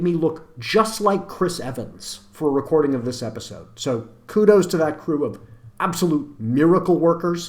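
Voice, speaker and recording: In an ordinary speaking voice with an American accent, the speaker talks at a moderate pace with lively intonation. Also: man. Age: 40s. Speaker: podcast host and author. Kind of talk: podcast intro monologue. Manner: casual, joking.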